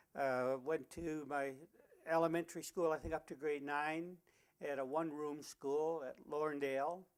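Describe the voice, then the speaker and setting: In a Canadian Prairie accent, a man talks at a moderate pace with a fairly high pitch and monotone, flat intonation. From rural Saskatchewan, Canada. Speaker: retired teacher. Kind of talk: oral history interview. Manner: halting, frequent uh fillers.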